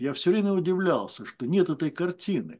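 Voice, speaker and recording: In a quiet background, a man talks at a high pitch. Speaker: discussion club moderator. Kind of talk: moderated discussion. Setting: video call.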